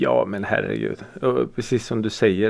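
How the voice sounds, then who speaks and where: The voice carries vocal fry and lively intonation. It moves at a fairly slow pace. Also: man. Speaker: podcast host. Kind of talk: casual chat. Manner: occasional groans and sighs from back pain.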